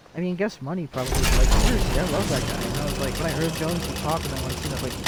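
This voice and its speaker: Very fast speech comes with noticeable background noise. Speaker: game streamer. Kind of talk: live gameplay commentary. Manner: animated.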